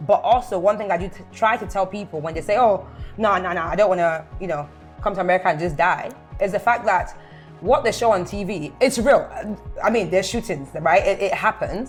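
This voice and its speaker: A woman talks with a medium pitch and ordinary pitch variation. Her pace is fairly quick, with music in the background. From London. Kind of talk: casual conversation.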